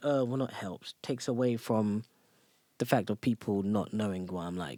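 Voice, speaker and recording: A man with an English accent speaks at a moderate pace on a very clean recording with a silent background and a dry, close sound with no echo. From England, South London. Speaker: top competitive video gamer. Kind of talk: casual podcast interview.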